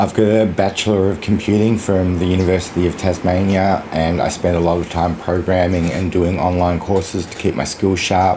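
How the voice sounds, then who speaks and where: Noticeable background noise sits behind a man with an Australian accent and a very deep, low pitch. He talks at a moderate pace with fairly even intonation. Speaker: vlogger. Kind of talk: casual vlog monologue.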